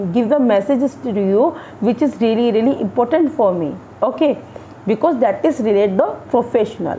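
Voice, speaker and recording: Through noticeable background noise comes a woman's high voice with lively intonation and an Indian accent. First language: Hindi. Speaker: English teacher. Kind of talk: tutorial. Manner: halting.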